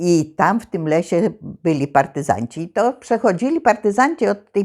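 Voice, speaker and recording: The recording is very clean, with a silent background. A woman speaks at a very slow pace with very wide pitch swings. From Poland, Zamość region. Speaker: war childhood witness. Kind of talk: oral history interview answer.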